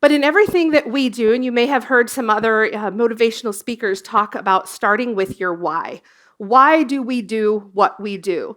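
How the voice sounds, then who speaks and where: In a very clean recording with a silent background, a woman with an American accent speaks at a moderate pace and fairly high pitch with ordinary variation, a normal speaking voice. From US, Colorado. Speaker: emergency services industry executive, former dispatcher. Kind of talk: conference presentation.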